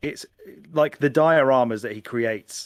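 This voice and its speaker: Recorded with a dry, close sound and no echo, a man talks at a moderate pace. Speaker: podcast co-host. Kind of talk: casual podcast conversation.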